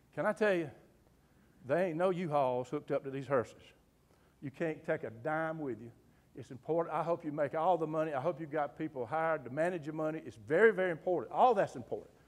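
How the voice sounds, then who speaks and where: Animated in tone, a man with a Southern US accent speaks at a very fast pace. His pitch is fairly high, with ordinary variation. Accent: Southern US (Georgia). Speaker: humorist and undertaker, after-dinner speaker. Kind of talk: humorous motivational talk. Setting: club luncheon with live audience. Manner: animated, folksy.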